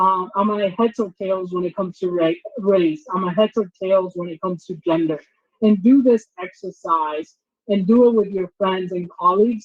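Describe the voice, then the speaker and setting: A woman with a Spanish accent speaks at a moderate pace in a medium-pitched voice with fairly even intonation. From Dominican Republic, then St. Louis, Missouri. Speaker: diversity trainer and company founder. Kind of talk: workshop presentation.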